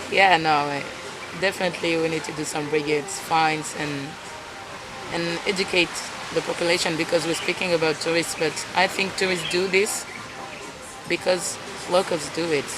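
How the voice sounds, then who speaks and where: Speaking at a moderate pace with a non-native accent, this voice breaks often into long pauses over noticeable background noise. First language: not English. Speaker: fellow traveler. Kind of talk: casual interview. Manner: halting.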